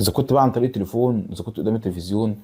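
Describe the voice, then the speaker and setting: Somewhat breathy and very fast, a man speaks in a dark, mellow tone at a fairly low pitch with fairly even intonation. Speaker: YouTuber football fan commentator. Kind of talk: casual vlog monologue. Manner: halting, many false starts.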